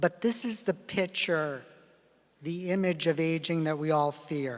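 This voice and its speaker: Here is a man with an ordinary speaking voice and a fairly high pitch. He talks at a fairly slow pace with ordinary pitch variation. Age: 60s. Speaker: geriatrics physician giving keynote lecture. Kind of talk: lecture.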